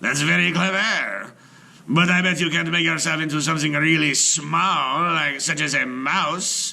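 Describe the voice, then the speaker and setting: This man puts on a character voice, pitched fairly high. He talks at a moderate pace. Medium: read story. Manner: smooth, persuasive.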